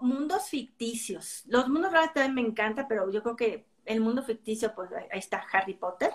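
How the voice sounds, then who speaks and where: A woman speaks at a moderate pace in a plain, everyday voice, fairly high in pitch with lively intonation, in a very clean recording with a silent background. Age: 50s. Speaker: book reviewer. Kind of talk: casual chat.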